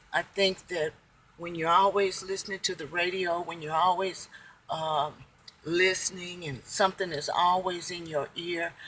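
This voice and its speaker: Noticeable background noise runs under this recording. A woman speaks with monotone, flat intonation. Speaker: family devotional vlogger. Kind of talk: devotional talk. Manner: slow; calm.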